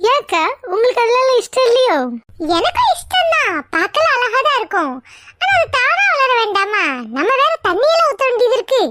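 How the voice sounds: A woman performs a cartoonish character voice, squeaky and extremely high-pitched with very wide pitch swings at a moderate pace. Sound effects play in the background.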